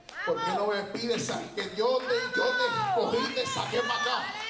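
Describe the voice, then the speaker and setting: Over noticeable background noise and audible room echo, a man with a Puerto Rican accent speaks at a fairly slow pace. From Puerto Rico, Peñuelas. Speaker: preacher. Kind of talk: sermon.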